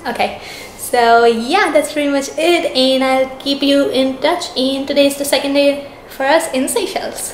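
With light background noise and audible room echo, a woman talks in a high pitch. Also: ordinary pitch variation, moderate pace. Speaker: travel vlogger. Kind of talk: casual vlog chat. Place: home room. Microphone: phone near.

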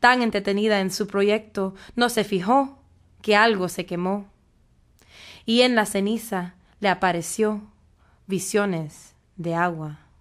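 Playful, dramatic delivery from a woman at a medium pitch, very slow with long, frequent pauses, in a very clean recording with a silent background. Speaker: poet performing spoken word. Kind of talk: poetry performance, spoken word. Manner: dramatic, animated, shifting between voices; defiant and sassy, playful.

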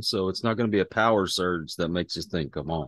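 A man speaks with ordinary pitch variation. The sound is dry with no echo, over a quiet background. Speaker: podcast guest. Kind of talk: interview answer. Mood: relaxed, reflective. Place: home room. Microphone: video call.

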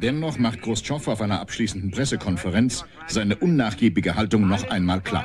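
Fairly quick, dramatic delivery from a man, fairly low in pitch with lively intonation, against noticeable background noise. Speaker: documentary narrator. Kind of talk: 1980s TV documentary narration, scripted and solemn. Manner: measured, formal, dramatic, newsreel-style delivery.

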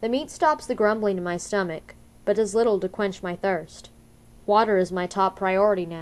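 A woman's plain, everyday voice at medium pitch, moderate pace and ordinary pitch variation. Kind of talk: literary audiobook reading, first-person narration of a novel. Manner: steady, measured storytelling pace with tense, suspenseful build.

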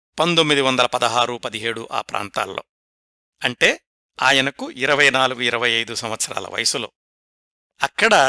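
The recording is very clean, with a silent background and a dry, close sound with no echo. A man speaks in a bright, sharp tone. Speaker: podcast host and biographical storyteller. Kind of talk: scripted narration. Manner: measured, phrase-by-phrase delivery.

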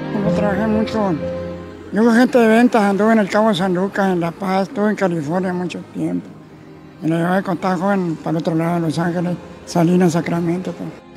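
Clear music plays in the background while a man talks at a high pitch. His pace is fairly quick, with ordinary pitch variation. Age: 80s+. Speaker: street salsa vendor. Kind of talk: interview answer. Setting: outdoors. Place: street. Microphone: handheld.

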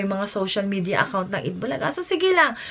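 A woman speaks in an animated tone. Her voice sounds bright and sharp. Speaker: YouTube vlogger. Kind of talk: reaction vlog commentary.

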